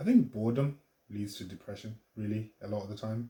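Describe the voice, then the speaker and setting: A quiet, fairly low male voice, somewhat breathy, with a dark, mellow tone. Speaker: vlogger and artist. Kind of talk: casual vlog monologue. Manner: quiet, low voice; hesitant, many fillers.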